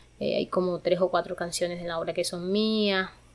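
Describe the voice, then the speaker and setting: A woman has an unremarkable speaking voice at medium pitch. Her intonation stays fairly even. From Sucre, Caribbean coast of Colombia. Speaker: student leader and theatre performer. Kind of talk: interview. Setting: in Vancouver, Canada.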